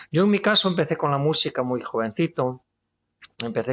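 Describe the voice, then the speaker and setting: With a Galician accent, a man talks at a fairly quick pace with lively intonation over a quiet background. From Spain, Galicia. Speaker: guitarist and singer-songwriter. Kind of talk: testimony interview.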